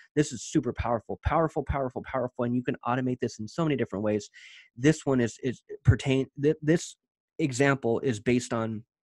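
Against a quiet background, a man talks very fast with ordinary pitch variation, the sound dry with no echo. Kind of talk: tutorial. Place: home room.

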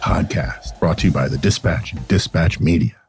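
Music plays in the background as a man speaks at a moderate pace. His pitch swings very widely. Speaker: podcast host. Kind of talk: monologue podcast. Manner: quiet, whispered; rambling, digressive.

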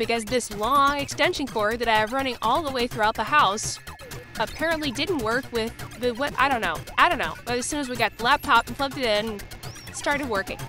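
The speaker's pace is fairly quick, with clear music playing in the background. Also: dry sound with no echo. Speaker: 3D printing streamer. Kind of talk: casual vlog chat. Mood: mildly disappointed, wry. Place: home room. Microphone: phone near.

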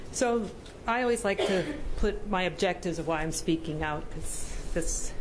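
Noticeable background noise sits behind a woman whose intonation stays fairly even. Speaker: presenter. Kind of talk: presentation. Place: meeting room. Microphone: podium.

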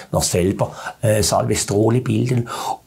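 The man's somewhat breathy voice sits at a fairly low pitch with ordinary pitch variation. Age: 70s. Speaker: biochemist. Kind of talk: interview explanation. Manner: halting, repetitive, filler words. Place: studio. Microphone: lapel.

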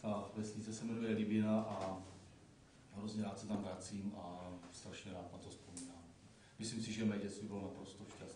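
Against noticeable background noise and audible room echo, a man speaks in a fairly low, monotone, flat voice with big swings in loudness. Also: moderate pace. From northern Moravia, Czech Republic. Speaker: deputy mayor. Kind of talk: live interview. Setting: live broadcast in a hall with audience.

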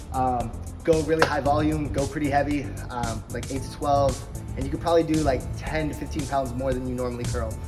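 Clear music plays behind the voice. A man speaks at a fairly quick pace. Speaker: interviewee. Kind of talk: interview answer. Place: gym. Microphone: phone near.

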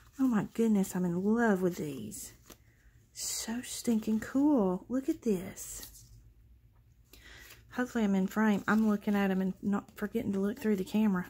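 Somewhat breathy, a woman speaks with ordinary pitch variation and long, frequent pauses. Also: moderate pace. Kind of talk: casual vlog chat. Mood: excited, delighted.

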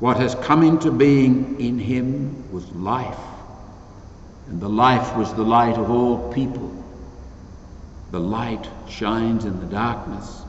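Audible room echo and light background noise surround a man at medium pitch with ordinary pitch variation. He speaks at a very slow pace, leaving long, frequent pauses. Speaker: priest presiding at mass. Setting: empty church, live-streamed online mass. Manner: earnest, measured, emphatic preaching.

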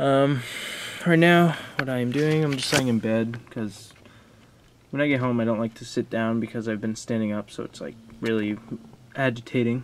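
The voice moves at a moderate pace with ordinary pitch variation. Light background noise can be heard. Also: man. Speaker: vlogger. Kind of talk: casual vlog chat. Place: home room. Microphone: phone near.

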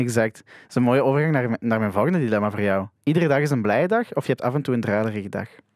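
A man speaks very fast with hardly any pauses in a Flemish accent, his loudness swinging widely and his pitch varying in an ordinary way, the sound dry with no echo against a quiet background. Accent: Flemish Dutch. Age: young. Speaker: podcast host. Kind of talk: casual interview. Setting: studio. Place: studio. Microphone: studio mic.

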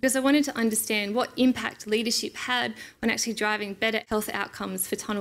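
Very fast delivery with ordinary pitch variation. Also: woman. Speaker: conference presenter. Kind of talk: lecture. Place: hall. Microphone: podium.

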